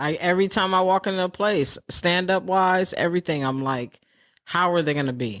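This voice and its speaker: An ordinary speaking voice from a woman with an American accent and a fairly low pitch, at a moderate pace with ordinary pitch variation, on a very clean recording with a silent background. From New York City. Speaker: stand-up comedian. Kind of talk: interview answer.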